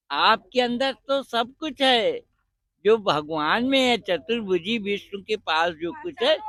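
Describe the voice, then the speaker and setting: This man's raised, projected voice has a bright, sharp tone, and the sound is dry and close with no echo. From Rajasthan, India. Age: 70s. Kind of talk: interview. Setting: outdoors at a religious fair.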